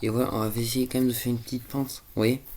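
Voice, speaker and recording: Flat, monotone intonation from a man at a medium pitch. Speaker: gaming youtuber. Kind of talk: let's play commentary. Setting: at home. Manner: casual, hesitant.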